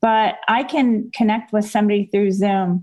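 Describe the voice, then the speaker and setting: A woman talks in a plain, everyday voice with ordinary pitch variation. The background is quiet. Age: 60s. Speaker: teacher. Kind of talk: casual chat.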